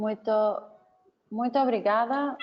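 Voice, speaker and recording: A woman talks here. Her speech carries a non-native accent. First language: not Portuguese (speaking Portuguese). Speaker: researcher and webinar organizer. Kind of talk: webinar closing remarks. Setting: online webinar. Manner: halting.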